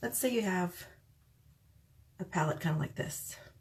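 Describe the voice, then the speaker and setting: A soft-spoken woman with a fairly low, somewhat breathy voice talks at a moderate pace. Her pitch swings very widely. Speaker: makeup tutorial vlogger. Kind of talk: tutorial. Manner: soft-spoken, talking quietly; casual.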